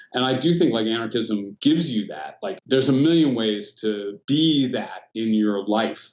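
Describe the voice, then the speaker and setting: With an American accent, a man speaks at medium pitch. His is a normal speaking voice at a moderate pace. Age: 60s. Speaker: philosophy professor. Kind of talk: casual chat. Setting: podcast interview. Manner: casual, conversational.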